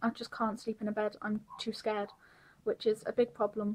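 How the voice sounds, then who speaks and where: A woman speaks at a fairly quick pace in a fairly high, somewhat breathy voice with monotone, flat intonation. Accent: British. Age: 20s. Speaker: vlogger sharing mental health experience. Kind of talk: personal vlog testimony.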